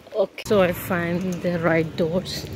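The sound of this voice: A woman's fairly low voice with a slightly mellow tone, little pitch movement and a fairly slow pace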